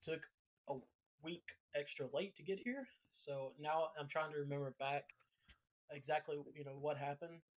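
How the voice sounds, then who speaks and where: A man with a Southern accent speaks at a moderate pace in a fairly high pitch, his intonation fairly even. The sound is dry and close with no echo, and his pauses are long and frequent. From US South. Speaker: podcast host. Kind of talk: casual chat. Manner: halting.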